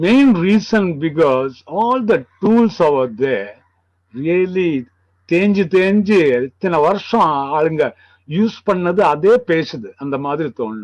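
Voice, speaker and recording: Speaking with a Kerala Indian accent, a man uses a high pitch with very wide pitch swings. His pace is very slow. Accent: Malayali Indian English. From India, Kerala (Palakkad, Malabar). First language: Malayalam. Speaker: sculptor. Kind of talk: interview. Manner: halting.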